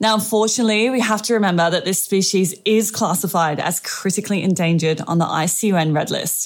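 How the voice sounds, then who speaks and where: A woman with an Australian accent at medium pitch, very fast and with hardly any pauses, with ordinary pitch variation and very even loudness. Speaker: animal trainer podcaster. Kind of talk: scripted news segment.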